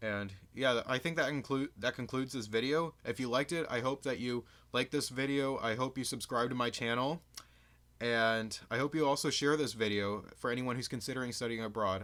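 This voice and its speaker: Speaking with an American accent at a fairly quick pace, a man uses a medium-pitched voice with an enthusiastic tone and a bright, sharp tone, in a very clean recording with a silent background. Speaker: student vlogger. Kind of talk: vlog advice talk. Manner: slight stutter, hesitant; casual, enthusiastic.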